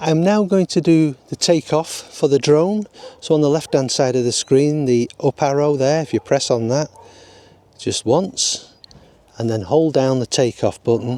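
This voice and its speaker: Speaking fairly slowly with a strong Lancashire accent, a man has a dark, mellow tone in a dry, close sound with no echo. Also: fairly high pitch for a man, ordinary pitch variation. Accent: broad Lancashire. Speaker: drone pilot. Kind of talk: tutorial talk to camera. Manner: unpolished, casual.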